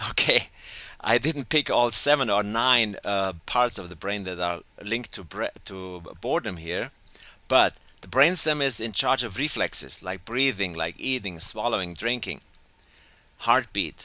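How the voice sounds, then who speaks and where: At a fairly slow pace, a man with a medium pitch speaks with lively intonation and a bright, sharp tone. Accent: German. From Germany. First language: German. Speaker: educational coach. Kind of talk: webinar lecture. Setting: teleclass call.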